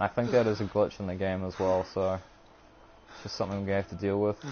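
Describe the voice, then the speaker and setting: A man's fairly low voice in a New Zealand accent, with monotone, flat intonation. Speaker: gaming streamer. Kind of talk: live gameplay stream commentary. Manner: usually fast-talking; occasional stutter.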